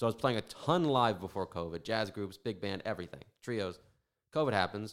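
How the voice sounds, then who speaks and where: A man speaks in a plain, everyday voice at a fairly low pitch with lively intonation and a fairly quick pace. The recording is very clean with a silent background. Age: 20s. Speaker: drummer. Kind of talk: casual chat.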